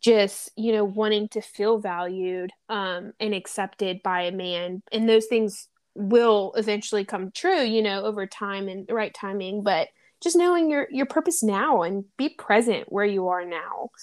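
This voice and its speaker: A woman with a Southern US accent speaks at a fairly slow pace. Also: medium pitch for a woman, ordinary pitch variation. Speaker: podcast host. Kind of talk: casual chat.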